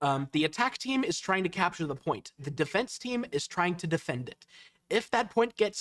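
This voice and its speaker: Loud and bright with a sharp tone, a man speaks at a moderate pace with lively intonation. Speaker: esports caster. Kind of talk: live commentary. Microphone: peaking, cutting out.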